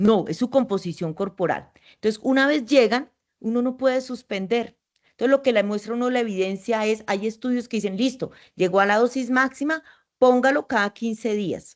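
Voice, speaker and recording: With a fairly high pitch and ordinary pitch variation, a woman talks at a moderate pace. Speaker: endocrinologist. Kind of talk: interview. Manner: talkative.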